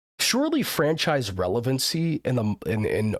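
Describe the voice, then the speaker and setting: The man's medium-pitched voice is recorded very cleanly against a silent background, with a dry, close sound and no echo. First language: not English. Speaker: live streamer. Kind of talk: casual chat. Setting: live stream.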